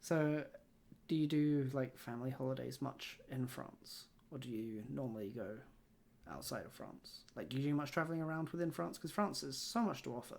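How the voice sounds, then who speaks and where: A moderate pace in a British accent. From UK. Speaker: podcast host. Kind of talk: casual interview chat.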